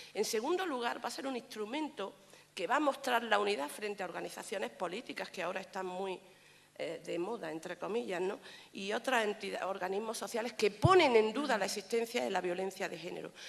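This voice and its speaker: Over noticeable background noise, a woman at a medium pitch talks at a fairly quick pace with lively intonation. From Granada, Andalusia, Spain. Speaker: judge. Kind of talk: conference talk.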